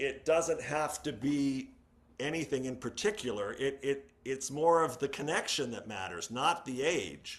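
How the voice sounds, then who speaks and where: An unremarkable speaking voice from a man, fairly high in pitch, with ordinary pitch variation at a fairly slow pace. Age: 60s. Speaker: podcast guest. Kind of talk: casual chat.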